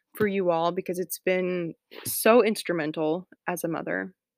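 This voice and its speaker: A woman's unremarkable speaking voice in an American accent, medium-pitched with ordinary pitch variation, on a very clean recording with a silent background and a dry, close sound with no echo. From US South, Atlanta. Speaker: homemaking podcaster, mother. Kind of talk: casual solo podcast talk. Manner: frequent fillers, chatty.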